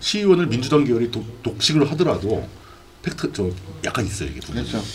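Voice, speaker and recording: Delivered at a fairly quick pace, the speech has very wide pitch swings over noticeable background noise. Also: man. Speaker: live stream host. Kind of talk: casual live political talk show. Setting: live stream broadcast with chat.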